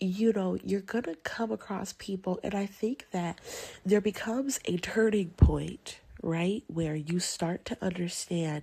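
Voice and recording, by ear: At a fairly slow pace with few pauses, a woman speaks in a medium pitch, her dark, mellow tone carrying vocal fry, a slightly husky edge and ordinary pitch variation.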